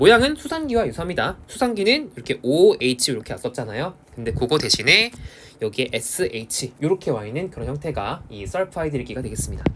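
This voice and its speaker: A man talks at a very fast pace in an animated tone, his loudness swinging widely. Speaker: science teacher. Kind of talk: lecture.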